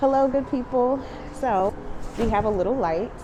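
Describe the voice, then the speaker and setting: A woman's intonation sounds lively, with audible room echo and noticeable background noise in the recording. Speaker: muralist and art vlogger. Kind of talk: casual vlog narration. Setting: outdoors at night in a tunnel.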